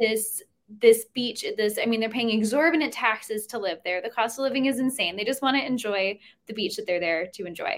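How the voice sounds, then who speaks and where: At a fairly quick pace, a woman with a US Northeastern accent speaks at a fairly high pitch with ordinary pitch variation. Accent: US Northeast. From New Jersey. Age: 20s. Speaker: student and writer. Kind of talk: casual interview.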